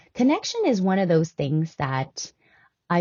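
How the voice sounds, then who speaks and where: A woman talks at a fairly slow pace. She has a non-native accent. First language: not English. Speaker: health and wellness podcast host. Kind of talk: casual talk-style teaching monologue. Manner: hesitant, many fillers (um, uh, right?).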